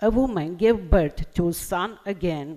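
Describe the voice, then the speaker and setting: A woman with an Armenian accent speaks at a fairly slow pace, her fairly low voice dark and mellow, with ordinary pitch variation. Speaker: poet. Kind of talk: poetry reading.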